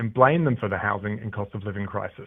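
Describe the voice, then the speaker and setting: Talking at a very fast pace, a man with an Australian accent uses ordinary pitch variation. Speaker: political candidate. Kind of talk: radio interview. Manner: scripted-sounding, formal.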